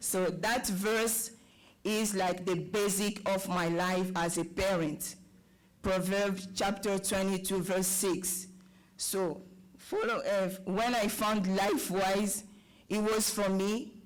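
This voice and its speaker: In a French accent, the speaker goes at a very slow pace amid noticeable background noise. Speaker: parent, public commenter. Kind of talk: public comment at school board meeting. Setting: board meeting with audience.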